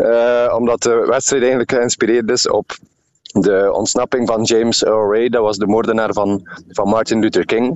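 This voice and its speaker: A man speaks in a flat monotone at a very even loudness. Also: medium pitch for a man, moderate pace. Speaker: ultramarathon runner. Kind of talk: radio interview.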